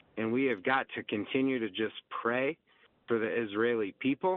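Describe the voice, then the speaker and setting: With an American accent, a man talks at a moderate pace and medium pitch with ordinary pitch variation in a plain, everyday voice. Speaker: caller. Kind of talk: call-in comment. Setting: phone call.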